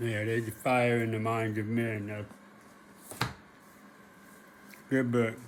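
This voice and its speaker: Over noticeable background noise and audible room echo, a man speaks very slowly with long, frequent pauses. His medium-pitched voice has monotone, flat intonation. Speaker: history commentator, video blogger. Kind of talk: personal monologue to camera. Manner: halting, with repetitions.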